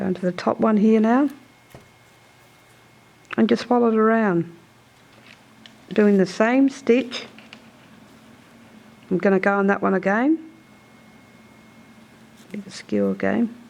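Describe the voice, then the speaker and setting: Over noticeable background noise, a woman with a fairly high voice speaks with long, frequent pauses. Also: ordinary pitch variation, fairly slow pace. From South Australia, Murraylands. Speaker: traditional basket weaver. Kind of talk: weaving demonstration.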